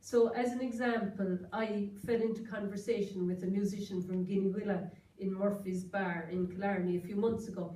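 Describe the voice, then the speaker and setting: A woman with a Kerry accent talks at a moderate pace, hardly pausing, at a medium pitch. Her intonation is monotone and flat, and the room echo is audible. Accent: Kerry Irish. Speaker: author and journalist. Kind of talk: lecture.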